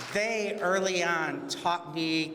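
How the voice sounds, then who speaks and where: A man with a high pitch and ordinary pitch variation talks amid noticeable background noise and audible room echo. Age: 60s. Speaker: LGBTQ community organization founder. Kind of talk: award acceptance speech.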